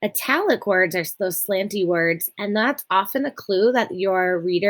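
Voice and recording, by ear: The pitch varies in an ordinary way. The reading aloud is done in a natural voice.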